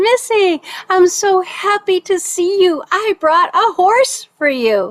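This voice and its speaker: Squeaky and extremely high, a woman's put-on character voice moves at a fairly slow pace with lively intonation and very even loudness, in a dry, close sound with no echo. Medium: read story. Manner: warm, reassuring.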